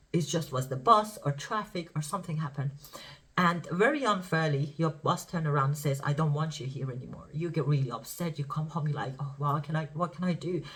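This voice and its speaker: The speaker talks at a fairly quick pace in a Persian accent. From Iran. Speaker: spiritual teacher. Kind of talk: spiritual talk to camera. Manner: casual, halting.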